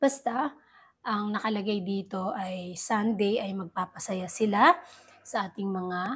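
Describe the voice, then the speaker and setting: The speaker talks at a very slow pace in a somewhat breathy voice. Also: woman. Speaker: entertainment news vlogger. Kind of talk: casual vlog commentary.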